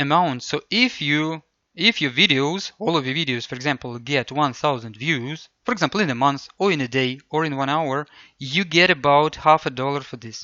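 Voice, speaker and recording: A man with a non-native accent talks at a moderate pace. His pitch is fairly high, with ordinary pitch variation. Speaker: English tutor. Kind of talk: casual talk to camera.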